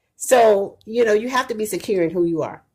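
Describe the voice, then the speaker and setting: A woman speaks loudly. Her pace is moderate. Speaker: mother of the host, long-married wife. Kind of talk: casual interview conversation. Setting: livestream at home. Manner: loud, chatty.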